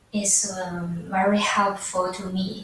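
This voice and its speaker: Audible room echo and noticeable background noise around a woman at a medium pitch and a very slow pace. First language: not English. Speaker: student. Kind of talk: class presentation. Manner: halting, many fillers.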